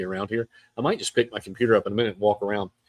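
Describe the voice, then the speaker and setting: A man with a South Carolina accent talks at a very fast pace in an animated tone. His pitch is fairly low, and the sound is dry and close with no echo. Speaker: real estate podcast host. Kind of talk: live stream monologue. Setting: outdoors at an event venue.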